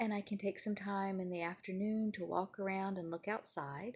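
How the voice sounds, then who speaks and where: A soft-spoken woman speaks in a somewhat breathy voice with ordinary pitch variation. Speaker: acupuncturist and wellness vlogger. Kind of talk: casual mindfulness talk. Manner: quiet, soft-spoken; mellow.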